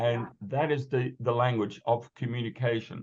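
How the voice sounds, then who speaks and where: A man's voice comes across as somewhat breathy. He keeps a moderate pace and fairly even intonation. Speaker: presenter giving a philosophy talk. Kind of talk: lecture. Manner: halting, many fillers and repetitions.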